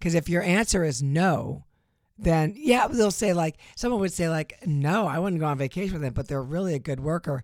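In a very clean recording with a silent background, a woman with a plain, everyday voice speaks at a fairly low pitch and a moderate pace. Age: 50s. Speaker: host's wife, co-presenter. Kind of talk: casual chat.

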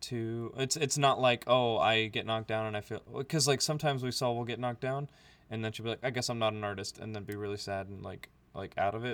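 A man with an American accent talks at a very fast pace. His pitch is medium, and the recording is very clean with a silent background. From US, with childhood in Libya. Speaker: podcast co-host. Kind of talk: casual chat. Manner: animated.

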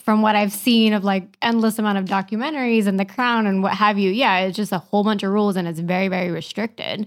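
On a very clean recording with a silent background, a woman with an American accent has a plain, everyday voice, a fairly high pitch and fairly even intonation. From US, Kentucky and New York. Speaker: podcast guest. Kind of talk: casual chat. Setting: studio.

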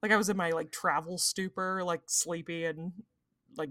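Recorded dry and close with no echo and a silent background, a woman speaks at a moderate pace in a very clean recording. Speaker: podcast co-host. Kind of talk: casual chat.

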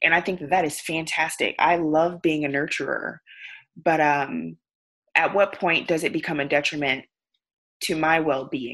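Her voice is a very deep, low pitch for a woman with fairly even intonation. She keeps a moderate pace with long, frequent pauses. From US South. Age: 30s. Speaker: coach and educator. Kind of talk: interview.

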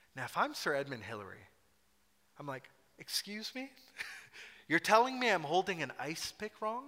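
In a Scottish accent, a man with a high pitch and a bright, sharp tone talks at a moderate pace, with very wide pitch swings, big swings in loudness and long, frequent pauses. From Scotland. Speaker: pastor. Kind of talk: sermon. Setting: church. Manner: animated.

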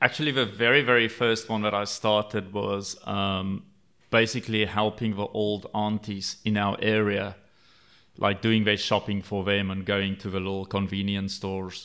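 A man's fairly low, bright and sharp voice, flat and monotone at a moderate pace, on a very clean recording with a silent background. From South Africa. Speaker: entrepreneur. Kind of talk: interview. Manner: halting.

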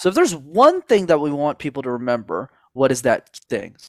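Using an ordinary speaking voice with a Canadian accent, a man speaks fairly high and at a fairly quick pace. The recording is very clean, with a silent background. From Montreal, Canada. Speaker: speaking coach. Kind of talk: interview.

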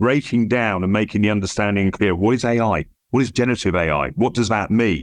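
Speaking fairly quickly with a southern English accent, a man uses a fairly low pitch and ordinary pitch variation over a quiet background. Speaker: international police cybercrime director. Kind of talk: interview.

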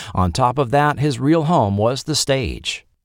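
Dry and close with no echo, a man with a normal speaking voice uses lively intonation at a moderate pace. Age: middle-aged. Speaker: podcast host. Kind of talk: scripted narration.

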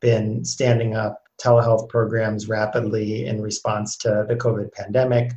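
Somewhat breathy and monotone in intonation, a man at medium pitch speaks at a fairly slow pace. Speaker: healthcare policy consultant. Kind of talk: interview conversation.

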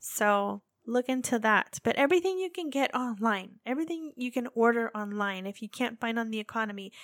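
Using an ordinary speaking voice, a woman with an American accent talks at a fairly quick pace and fairly high pitch with lively intonation, on a very clean recording with a silent background and a dry, close sound with no echo. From United States. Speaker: podcast host, military spouse. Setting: living abroad in Japan. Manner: chatty, laughs often, playful.

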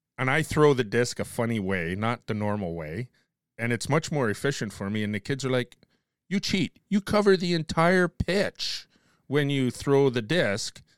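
The recording is very clean with a silent background and a dry, close sound with no echo, as a man speaks with very wide pitch swings. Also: medium pitch for a man, moderate pace. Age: 50s. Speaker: podcast host. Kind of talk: casual chat.

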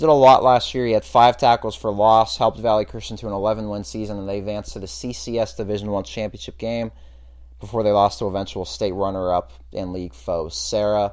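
Using an ordinary speaking voice, a man talks at a fairly quick pace with a fairly low pitch and ordinary pitch variation. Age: 20s. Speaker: high school sports podcast host. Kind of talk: casual chat.

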